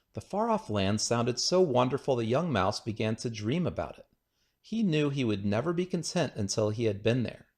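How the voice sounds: Set against a quiet background, a natural reading voice carries lively intonation.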